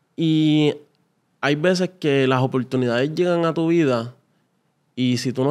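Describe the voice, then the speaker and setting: A man's pitch varies in an ordinary way while the background stays quiet. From Puerto Rico, Carolina; Puerto Rico. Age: 20s. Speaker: salesman. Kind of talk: interview. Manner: halting. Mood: reflective, relaxed. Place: studio. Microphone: studio mic.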